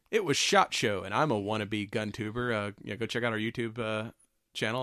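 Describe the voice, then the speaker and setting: In a very clean recording with a silent background, a man with a medium pitch and an ordinary speaking voice talks at a moderate pace with fairly even intonation. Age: 40s. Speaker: podcast host. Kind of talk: casual chat.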